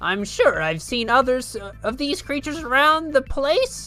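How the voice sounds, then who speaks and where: A high, put-on character voice at a moderate pace, with clear music in the background. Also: female-sounding voice. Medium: game stream. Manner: flustered, stammering.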